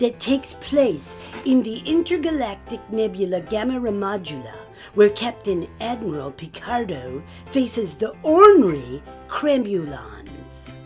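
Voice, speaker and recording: A put-on character voice, female-sounding and fairly high in pitch, moves at a moderate pace. Clear music plays in the background. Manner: playful, excitable, comic.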